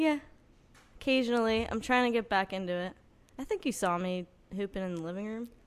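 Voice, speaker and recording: In a very clean recording with a silent background, a woman with a fairly high pitch speaks at a fairly quick pace with lively intonation and long, frequent pauses. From northern New Jersey. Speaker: singer-songwriter. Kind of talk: casual chat.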